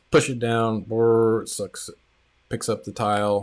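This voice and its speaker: A man speaks in a plain, everyday voice at a medium pitch, with fairly even intonation. The recording is very clean, with a silent background. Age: 40s. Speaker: tile contractor and coach hosting live stream. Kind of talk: live stream chat reading viewer comments. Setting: live stream. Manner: casual, filler-heavy.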